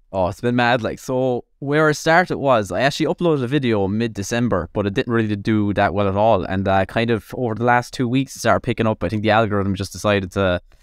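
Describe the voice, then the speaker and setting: Talking at a very fast pace with hardly any pauses, a man with an Irish accent speaks at a medium pitch. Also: ordinary pitch variation. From Ireland, Tipperary. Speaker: nutritionist and content creator. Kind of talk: casual chat.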